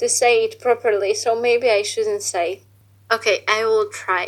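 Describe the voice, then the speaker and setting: A woman speaks at a fairly slow pace. She has a Polish accent. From Poland. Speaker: exchange student. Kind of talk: interview. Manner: halting.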